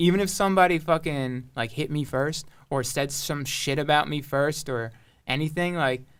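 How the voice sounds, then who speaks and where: A man's fairly high-pitched voice at a moderate pace, with ordinary pitch variation, on a very clean recording with a silent background. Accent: American. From Long Island, New York. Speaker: rapper and producer. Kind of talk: casual podcast chat.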